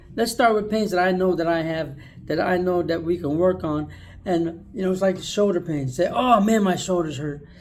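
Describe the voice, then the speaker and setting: Audible room echo surrounds a man with a high-pitched voice. He speaks at a moderate pace with ordinary pitch variation. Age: 60s. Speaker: video blogger. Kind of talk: casual monologue. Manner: casual, conversational.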